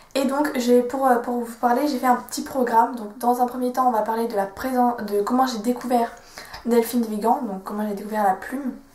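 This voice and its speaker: A woman's monotone, flat delivery at a moderate pace, over noticeable background noise. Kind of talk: casual book talk to camera.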